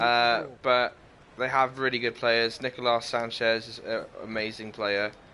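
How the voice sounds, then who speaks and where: This is a man speaking. He has a Welsh accent. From Wales. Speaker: gaming livestreamer. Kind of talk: casual livestream chat with game commentary. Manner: loud.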